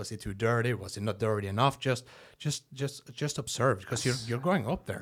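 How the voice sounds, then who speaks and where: A man's somewhat breathy voice at medium pitch, fairly quick pace and ordinary pitch variation, very clean recording with a silent background. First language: Norwegian. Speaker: comedian. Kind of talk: casual chat. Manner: halting, repeats words.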